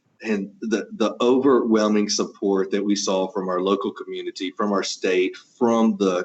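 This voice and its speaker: This man speaks with a Southeast Texas accent. His voice is fairly low and his pace fairly slow. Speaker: home automation integrator business owner. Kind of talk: interview.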